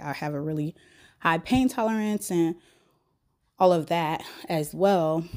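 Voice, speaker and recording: This woman has an American accent and a fairly low pitch. Her tone is dark and mellow, with lively intonation. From Texas. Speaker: podcast host. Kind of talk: personal podcast monologue. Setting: home bedroom.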